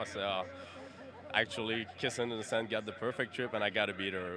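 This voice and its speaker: Against noticeable background noise, a man speaks in a fairly low pitch. His intonation is flat and monotone, and the sound is dry with no echo. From Quebec. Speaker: harness racing driver. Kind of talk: post-race interview. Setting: racetrack. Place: stadium. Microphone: handheld.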